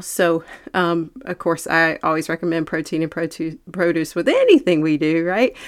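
This woman has an ordinary speaking voice, pitched fairly low, with fairly even intonation at a moderate pace. The recording is very clean, with a silent background. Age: 40s. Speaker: fitness trainer and podcast host. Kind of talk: solo podcast talk. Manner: casual, with fillers.

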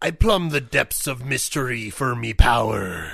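At a moderate pace, a man performs a put-on character voice at a medium pitch. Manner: funny, comic.

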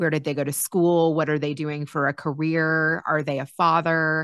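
Against a quiet background, a woman with a very deep, low pitch speaks at a moderate pace. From Kentucky. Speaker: podcast host. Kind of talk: interview. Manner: animated.

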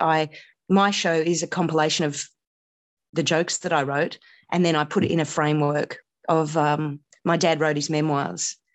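In an Australian accent, a woman with a very deep, low pitch speaks in a monotone, flat intonation. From Australia (Canberra), early childhood in India. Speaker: comedian. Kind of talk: casual chat. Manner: laconic.

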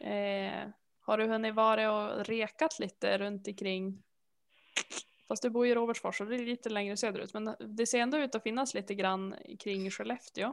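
In a plain, everyday voice, a woman speaks at a moderate pace, her pitch fairly high and her intonation fairly even. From Sweden, Härnösand (Norrland). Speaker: podcast co-host, knitter. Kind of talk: casual chat.

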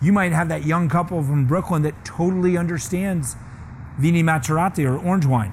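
Audible room echo around a man with a fairly high pitch, at a fairly quick pace with ordinary pitch variation. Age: 50s. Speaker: master sommelier and restaurateur. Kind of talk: seminar talk. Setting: small seminar audience.

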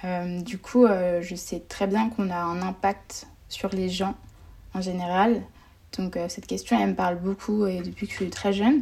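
A woman talks at a fairly slow pace and medium pitch. Her voice is somewhat breathy, with fairly even intonation. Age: 20s. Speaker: student and nonprofit founder. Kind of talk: casual interview.

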